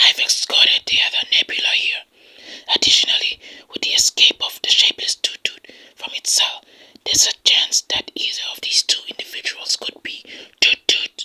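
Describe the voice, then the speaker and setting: A whispered, put-on character voice at a moderate pace. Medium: read story. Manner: firm, formal.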